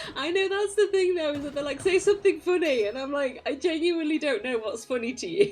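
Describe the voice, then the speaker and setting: Music plays in the background as a woman speaks at a high pitch with very wide pitch swings. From Birmingham, England. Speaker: streamer. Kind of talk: casual chat. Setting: live stream. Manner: halting, repeats words.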